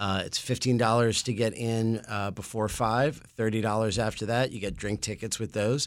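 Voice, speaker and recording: A man's medium-pitched voice stays monotone and flat on a very clean recording with a silent background. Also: moderate pace. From New York City. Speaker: brewery owner. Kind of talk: casual interview.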